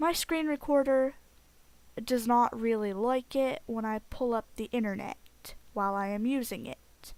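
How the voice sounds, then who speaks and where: A woman speaks loudly at a fairly slow pace, her pitch high with ordinary variation. The recording is very clean, with a silent background. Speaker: video game let's play creator. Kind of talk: gameplay commentary. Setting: home recording with headset.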